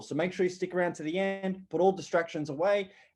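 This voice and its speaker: A man speaks with an Australian accent. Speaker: online business coach. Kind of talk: webinar presentation.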